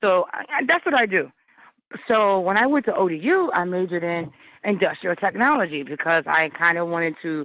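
With an American accent, a woman speaks in an animated tone at a fairly low pitch. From Virginia (Hampton Roads and Richmond areas). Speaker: hip hop artist. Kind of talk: casual interview. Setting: phone call.

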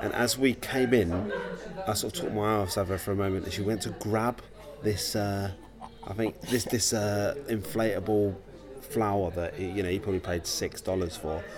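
Noticeable background noise behind a man at a moderate pace, with a fairly low pitch and fairly even intonation. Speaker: podcast host. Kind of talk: casual chat. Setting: coffee shop in a gallery. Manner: soft-spoken.

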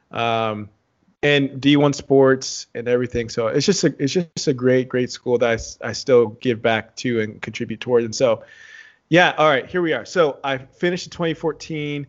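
In a normal speaking voice, a man with a medium pitch talks at a moderate pace with ordinary pitch variation. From Texas, San Antonio. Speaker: reality TV contestant and performer. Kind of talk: interview.

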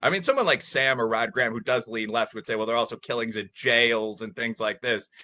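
This man has a medium pitch and an American accent, talking at a fairly quick pace. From US Midwest, Chicago area. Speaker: professor. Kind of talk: casual chat. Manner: talkative, rambling.

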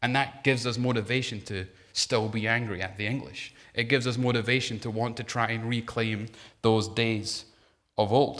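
At a moderate pace, a man speaks with a medium pitch and monotone, flat intonation. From Scotland. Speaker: preacher. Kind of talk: sermon. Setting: church; stage with audience.

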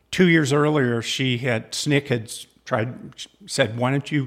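Only a man's voice, in a very clean recording over a silent background. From Southern California. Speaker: sociology professor. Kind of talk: interview conversation.

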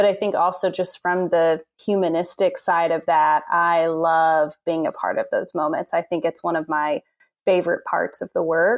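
An unremarkable speaking voice with an American accent, fairly even intonation and a moderate pace, on a very clean recording with a silent background and a dry, close sound with no echo. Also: woman, fairly low pitch for a woman. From Indiana, US Midwest. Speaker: music therapist. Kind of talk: interview.

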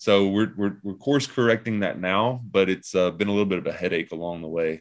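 Against a quiet background, a man with a Southern US accent speaks at a fairly low pitch with ordinary pitch variation. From US Southeast (Tennessee, Kentucky). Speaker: pastor. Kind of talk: casual interview.

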